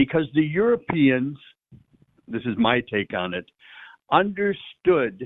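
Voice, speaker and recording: The pace is very slow, broken by long, frequent pauses. Pitch swings very wide throughout. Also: man, fairly high pitch for a man. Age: 70s. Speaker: priest. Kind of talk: radio interview. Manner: halting, repeats words.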